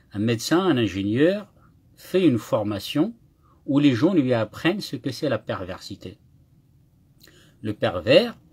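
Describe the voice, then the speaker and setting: A man speaks at a medium pitch, very slowly and somewhat breathily, with very wide pitch swings. The recording is very clean, with a silent background. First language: Kabyle (speaking French). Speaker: YouTuber. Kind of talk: live monologue. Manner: halting, with repetitions.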